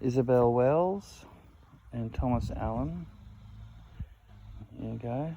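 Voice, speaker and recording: Speaking very slowly with long, frequent pauses, a man with an Australian accent has a dark, mellow tone. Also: medium pitch for a man, lively intonation. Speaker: history video maker touring a cemetery. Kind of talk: walking tour commentary. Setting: outdoors in a cemetery.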